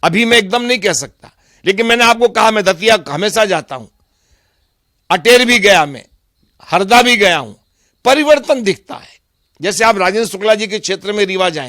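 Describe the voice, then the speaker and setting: In a very clean recording with a silent background, a high-pitched man with a bright, sharp tone shows ordinary pitch variation and big swings in loudness. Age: 60s. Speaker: politician. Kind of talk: interview.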